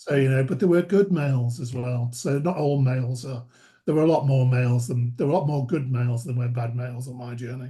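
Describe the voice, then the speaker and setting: A man's voice comes across dark and mellow in tone and somewhat breathy. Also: medium pitch for a man, ordinary pitch variation, fairly quick pace. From northern England, Merseyside (Wallasey). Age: 60s. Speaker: charity chief executive. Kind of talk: interview.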